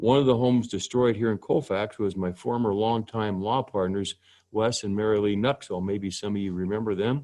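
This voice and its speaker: In an Inland Northwest accent, a man speaks at a fairly low pitch and moderate pace, his dark, mellow tone carrying fairly even intonation over a quiet background. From Spokane, Washington. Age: 60s. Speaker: judge. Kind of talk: presentation. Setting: video call.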